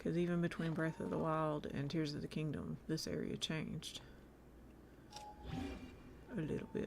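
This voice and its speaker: Speaking in a Southern US accent, a woman goes at a fairly slow pace. She takes long, frequent pauses. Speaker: video game streamer. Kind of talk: casual live-stream gameplay chat. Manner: animated.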